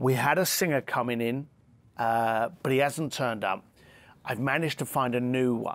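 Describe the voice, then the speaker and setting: A man speaks with a London accent at a moderate pace. His pitch is medium with ordinary variation. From East London, England. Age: 50s. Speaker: luxury concierge entrepreneur and author; podcast guest. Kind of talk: interview conversation. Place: garden.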